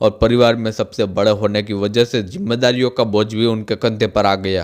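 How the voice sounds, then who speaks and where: A man with an ordinary speaking voice talks at a medium pitch and moderate pace with fairly even intonation, on a very clean recording with a silent background. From India, Gujarat. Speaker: motivational speaker. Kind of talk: biographical storytelling.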